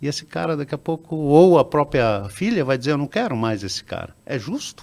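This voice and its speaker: A man speaks at a fairly high pitch. His voice moves through very wide pitch swings. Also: fairly quick pace. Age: 60s. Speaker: business founder. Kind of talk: interview. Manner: halting, with many repetitions and fillers.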